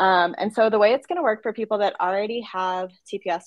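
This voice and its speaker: A woman at a medium pitch and fairly quick pace, dry and close with no echo, over a quiet background. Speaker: immigration attorney. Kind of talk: live stream update. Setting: live video stream. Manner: fast.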